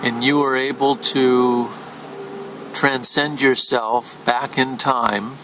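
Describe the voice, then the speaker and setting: Over noticeable background noise, a man with a medium pitch speaks at a very slow pace in a monotone, flat intonation and at a very even loudness. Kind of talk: interviewer questions, casual.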